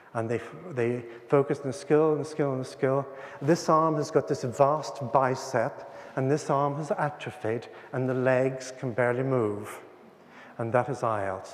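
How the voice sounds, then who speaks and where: Fairly slow speech from a man with an Irish accent, ordinary pitch variation and audible room echo. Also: medium pitch for a man. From Ireland. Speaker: teacher trainer and author. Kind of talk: conference talk. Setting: conference hall with audience.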